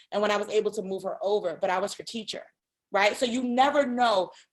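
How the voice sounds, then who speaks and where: At a fairly quick pace, a woman speaks at a medium pitch in an animated tone. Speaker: career speaker to students. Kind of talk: talk to a student club. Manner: fast.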